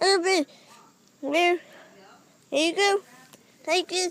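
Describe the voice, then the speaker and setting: An extremely high-pitched cartoonish character voice at a fairly slow pace. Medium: puppet. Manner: hesitant.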